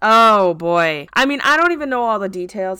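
Lively and bright, a woman's sharp-toned voice comes with an American accent in a very clean recording against a silent background. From US Midwest. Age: 20s. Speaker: podcast co-host. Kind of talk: casual chat.

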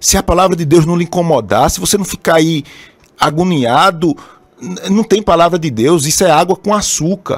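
A man with a Brazilian accent speaks at a high pitch. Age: 30s. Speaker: pastor. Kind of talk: sermon. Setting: live stream broadcast also on radio.

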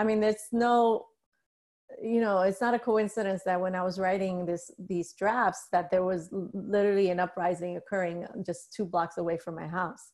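A woman has a normal speaking voice at a medium pitch, with an American accent. She talks at a moderate pace with fairly even intonation. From US Northeast, New York City (the Bronx). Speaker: author. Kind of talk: casual interview.

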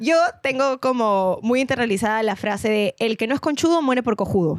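On a very clean recording with a silent background, a woman speaks at a fairly high pitch with very even loudness. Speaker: radio presenter and podcaster. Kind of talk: casual chat.

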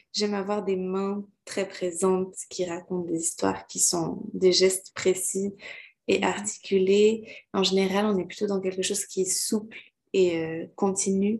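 A woman speaks slowly enough to count as fairly slow, in a medium pitch with monotone, flat intonation. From Quebec. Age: 20s. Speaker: dancer and choreographer. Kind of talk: interview.

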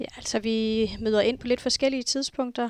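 The voice belongs to a woman. She talks with monotone, flat intonation. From Greenland, Nuuk. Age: 40s. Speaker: flight information officer. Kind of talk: interview.

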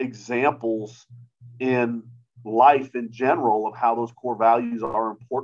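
A man speaks in a plain, everyday voice with an American accent. His pitch is medium and his pace fairly slow. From US South, mostly Georgia (military family). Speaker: high school strength coach. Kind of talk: casual interview.

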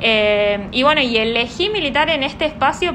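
A woman speaks in a high voice with ordinary pitch variation over noticeable background noise. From Argentina, Neuquén. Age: 20s. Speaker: young party activist. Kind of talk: interview.

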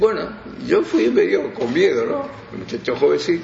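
A man talks at a moderate speed. Audible room echo and noticeable background noise surround him. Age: 80s+. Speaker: veteran radio broadcaster. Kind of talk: interview reminiscence.

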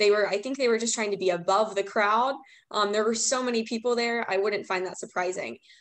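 An unremarkable speaking voice belongs to a woman with an American accent. Her pitch is fairly high, with ordinary variation. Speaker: student, rally attendee. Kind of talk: interview.

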